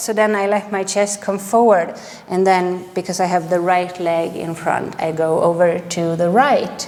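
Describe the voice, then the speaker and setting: Fairly slow speech from a woman with a strong Swedish accent at medium pitch, against noticeable background noise. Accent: heavy Swedish. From Sweden. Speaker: yoga teacher. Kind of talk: guided yoga class. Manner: calm, gentle.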